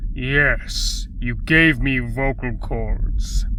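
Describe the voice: Clear background noise sits behind a man doing a put-on character voice at a medium pitch.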